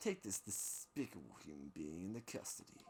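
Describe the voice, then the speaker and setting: A man puts on a character voice with a very deep, low pitch and lively intonation. He keeps a moderate pace over clear background noise. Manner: stern, commanding.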